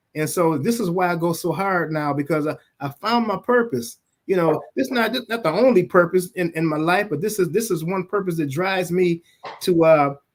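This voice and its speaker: Ordinary pitch variation and a moderate pace in a man's high voice. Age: 60s. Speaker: music label owner and museum founder. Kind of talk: podcast interview. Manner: halting, frequent repetitions.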